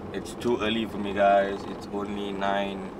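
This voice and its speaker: Noticeable background noise fills the space as a man speaks at a very slow pace. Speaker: vlogger. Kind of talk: casual vlog chat. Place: car. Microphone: phone near.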